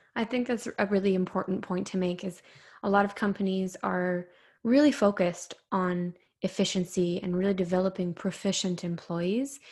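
Her voice is somewhat breathy and medium in pitch for a woman. She keeps a moderate pace and fairly even intonation. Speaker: podcast host. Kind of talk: interview, polished host.

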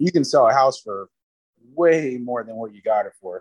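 A man with an American accent talks at a moderate pace, at a medium pitch, in an unremarkable speaking voice. The sound is dry and close, with no echo. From South Florida. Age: 30s. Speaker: father, podcast guest. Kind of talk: casual chat.

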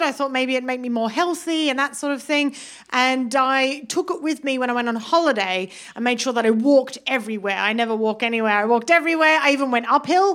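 Woman in a British accent, high pitch, lively intonation, fairly quick pace. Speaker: stand-up comedian. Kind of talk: stand-up. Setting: stage with audience.

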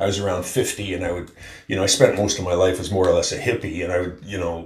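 This man's voice is somewhat breathy and sits at a fairly low pitch. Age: 70s. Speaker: philanthropist and environmental funder. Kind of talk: casual interview. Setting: remote call across continent. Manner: rambling, repeats words.

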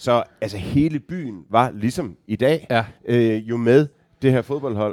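Very slow speech with ordinary pitch variation, dry and close with no echo. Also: man, medium pitch for a man. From Denmark, Aarhus. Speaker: football fan guest. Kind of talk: casual chat.

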